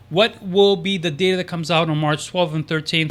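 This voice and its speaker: A man speaks at a very fast pace in a raised, projected voice. His tone is bright and sharp. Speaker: stock market youtuber. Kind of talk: stock analysis commentary. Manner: hesitant, many fillers.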